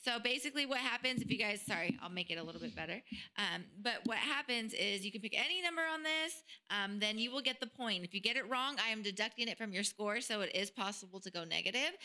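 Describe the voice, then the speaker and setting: Over noticeable background noise, a woman talks at a very fast pace. Her fairly high voice carries lively intonation. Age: 30s. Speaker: podcast co-host. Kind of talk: hosting a trivia game; casual chat.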